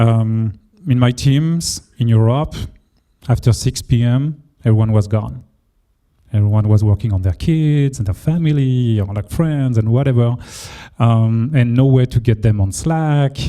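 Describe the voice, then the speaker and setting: With a French accent, a man speaks at a medium pitch and a fairly slow pace, his tone dark and mellow and his pitch varying in an ordinary way. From France. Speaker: engineering leader. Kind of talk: panel discussion. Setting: meetup with audience.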